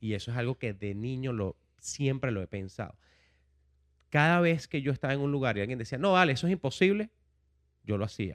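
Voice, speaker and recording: On a very clean, dry and close recording with no echo and a silent background, a man talks at a fairly quick pace with very wide pitch swings and long, frequent pauses. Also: medium pitch for a man. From Venezuela, Caracas. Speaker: education entrepreneur. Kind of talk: casual interview.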